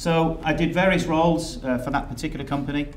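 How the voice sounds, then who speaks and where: A man speaks with audible echo from the room. Noticeable noise sits in the background. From England. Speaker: software company executive. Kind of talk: conference presentation. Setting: stage with audience.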